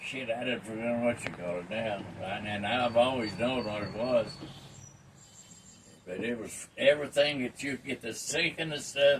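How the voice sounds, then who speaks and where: Speaking at a fairly slow pace, a man talks with a Southern US accent. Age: 80s+. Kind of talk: casual storytelling to family.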